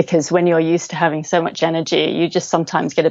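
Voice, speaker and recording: Here a woman talks at a very fast pace. Her voice is fairly low, with an English accent. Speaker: cognitive hypnotherapist. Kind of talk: interview. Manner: fast, animated; loud.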